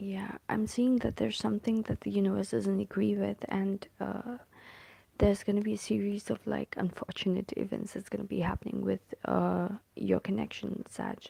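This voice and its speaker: Soft-spoken, this voice moves at a moderate speed. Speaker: tarot reader. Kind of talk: tarot reading. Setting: at home. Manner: hesitant, many fillers.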